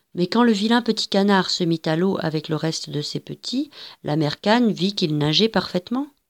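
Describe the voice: The clip consists of plain reading aloud.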